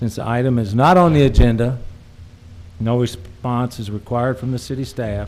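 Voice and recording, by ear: With a slightly mellow tone, a man speaks at a fairly slow pace.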